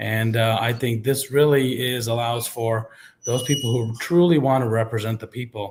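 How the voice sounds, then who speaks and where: At a moderate pace, a man talks in a somewhat breathy voice. His pitch is medium and his intonation fairly even. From Kansas, US Midwest (born in India). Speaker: political candidate, small business owner. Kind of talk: candidate forum debate.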